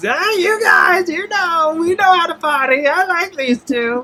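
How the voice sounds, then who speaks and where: Pitched extremely high, the put-on character voice moves along at a moderate pace. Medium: actual play. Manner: eager, chatty.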